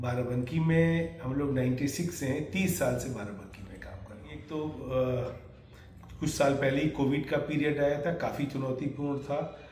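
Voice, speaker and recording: Amid audible room echo and noticeable background noise, a man with a fairly high pitch and ordinary pitch variation speaks with hardly any pauses and big swings in loudness. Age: 70s. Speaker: retiring doctor. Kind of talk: interview.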